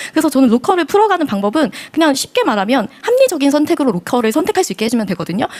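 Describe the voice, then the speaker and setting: The voice rushes along at a very fast pace in an animated tone with hardly any pauses. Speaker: local business project leader. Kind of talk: panel discussion.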